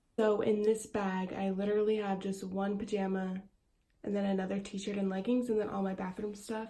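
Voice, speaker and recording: A woman of medium pitch speaks at a fairly quick pace in a dark, mellow, somewhat breathy tone with monotone, flat intonation. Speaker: esthetician and small business owner vlogger. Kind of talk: casual vlog. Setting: bathroom at home.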